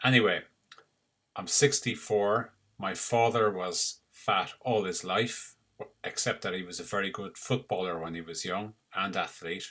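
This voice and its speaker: This man has a slight Irish accent and a fairly low pitch. His tone is bright and sharp, and his pace moderate. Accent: Irish, mild and easy to understand. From Ireland, Cork. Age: 60s. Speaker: retired doctor. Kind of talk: personal story to camera.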